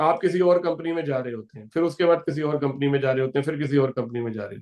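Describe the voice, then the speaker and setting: A man's voice with ordinary pitch variation. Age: 40s. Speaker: company founder and business speaker. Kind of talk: motivational business talk.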